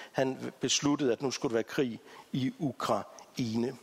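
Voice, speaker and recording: A man's voice is recorded dry and close, with no echo at all. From Africa. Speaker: church integration ministry leader, guest preacher. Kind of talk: sermon.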